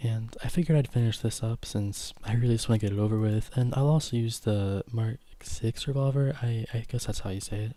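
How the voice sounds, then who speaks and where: A man speaks at a fairly quick pace with a medium pitch and fairly even intonation. His voice is somewhat breathy, with a dark, mellow tone. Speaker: gaming streamer. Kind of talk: live stream gameplay commentary. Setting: live stream. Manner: fast.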